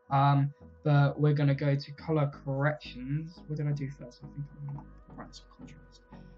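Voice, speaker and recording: Music plays in the background. A man speaks at a fairly high pitch and a moderate pace. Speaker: YouTuber making graphics tutorials. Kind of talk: tutorial. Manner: casual, filler-heavy.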